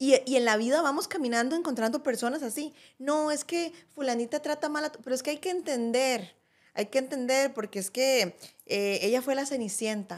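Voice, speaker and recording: A high-pitched woman with a Costa Rican accent against a quiet background. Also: ordinary pitch variation, moderate pace. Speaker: podcast co-host. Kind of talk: casual conversational podcast chat. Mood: reflective, earnest. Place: studio. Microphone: studio mic.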